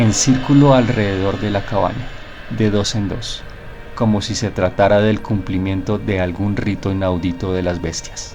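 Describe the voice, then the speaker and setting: Over music in the background, a man with a Latin American accent speaks with fairly even intonation. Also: fairly low pitch for a man. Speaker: narrator. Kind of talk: horror story narration.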